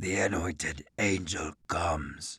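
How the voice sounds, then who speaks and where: Doing a raspy, guttural put-on character voice, a man talks at a fairly slow pace on a very clean recording with a silent background. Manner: barking.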